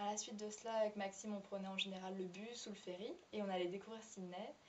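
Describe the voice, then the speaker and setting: Her intonation stays fairly even. A woman talks over noticeable background noise. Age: 20s. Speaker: former au pair. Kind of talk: testimony. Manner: halting.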